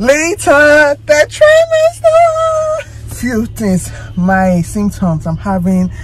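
Faint music plays in the background. Over it, a woman talks at a very slow pace. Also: dry sound with no echo. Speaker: mother vlogger. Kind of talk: casual vlog chat. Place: car. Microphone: phone near.

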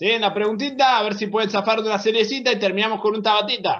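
At a fairly quick pace, a man with a high pitch speaks in an energetic tone. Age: 30s. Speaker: fitness coach. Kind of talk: online workout class. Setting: video call. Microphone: video call.

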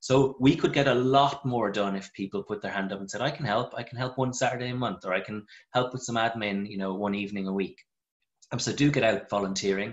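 Speaking at a fairly quick pace with an Irish accent, a man keeps a medium pitch and ordinary pitch variation over a quiet background. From Ireland. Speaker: vet and local wildlife group leader. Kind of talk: webinar presentation. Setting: video call. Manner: enthusiastic. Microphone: video call.

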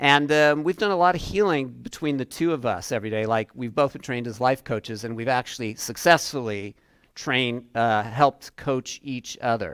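The speech moves at a moderate pace with hardly any pauses and ordinary pitch variation against a quiet background. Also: man. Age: 60s. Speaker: relationship coach. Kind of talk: workshop presentation. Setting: room with live audience. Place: classroom.

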